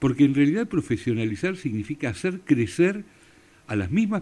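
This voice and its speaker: This voice has vocal fry and a dark, mellow tone. It swings very widely in pitch, with a Rioplatense accent. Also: man. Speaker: radio host and family business consultant. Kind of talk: radio interview.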